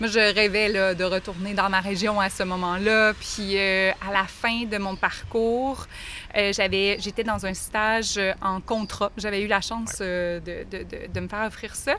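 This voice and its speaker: At a very slow pace, a woman speaks with a monotone, flat intonation. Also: medium pitch for a woman. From Quebec, Lac-Mégantic region. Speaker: teacher. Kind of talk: interview.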